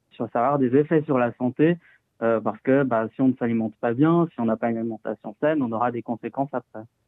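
The delivery is very fast. Its intonation stays fairly even. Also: man, medium pitch for a man. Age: 20s. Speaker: climate and health activist. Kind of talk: interview.

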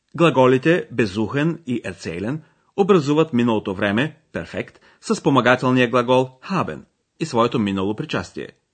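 At a moderate pace, a man uses an unremarkable speaking voice with a medium pitch and lively intonation. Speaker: language course presenter. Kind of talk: language lesson narration. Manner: formal.

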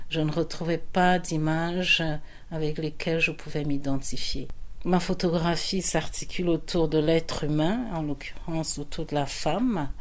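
Fairly slow and fairly even in intonation, a woman speaks at a fairly low pitch. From Cameroon (Yaoundé), then France from age 9. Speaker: photographer. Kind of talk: interview. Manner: halting, many hesitations.

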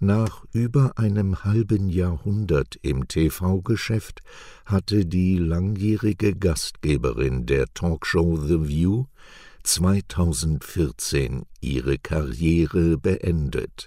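Very slow and lively in intonation, a man speaks at a very deep, low pitch in a dark, mellow tone with very even loudness, on a very clean recording against a silent background. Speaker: news presenter. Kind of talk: news reading. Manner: clear and measured.

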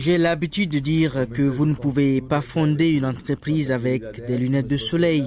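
Delivered at a moderate pace with very even loudness and fairly even intonation, the speech sits over noticeable background noise. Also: man, fairly high pitch for a man. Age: 40s. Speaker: media entrepreneur. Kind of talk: interview.

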